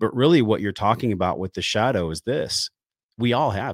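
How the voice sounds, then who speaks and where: A man with a plain, everyday voice and an American accent, talking at a fairly quick pace with lively intonation, in a dry, close sound with no echo and a very clean recording over a silent background. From San Diego area, California. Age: 40s. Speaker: wellness podcast host and breathwork trainer. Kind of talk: interview conversation.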